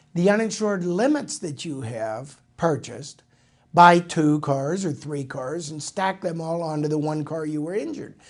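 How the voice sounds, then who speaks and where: A man with an unremarkable speaking voice talks at a moderate pace, with a fairly high pitch and ordinary pitch variation. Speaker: radio and TV financial show host, insurance agent. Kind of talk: radio show monologue.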